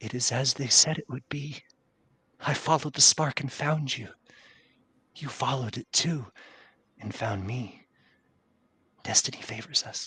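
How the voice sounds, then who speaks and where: Soft-spoken and shaky, a man puts on a character voice at a medium pitch with ordinary pitch variation, keeping a moderate pace broken by long, frequent pauses. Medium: actual play. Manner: stammering, trembling, reverent.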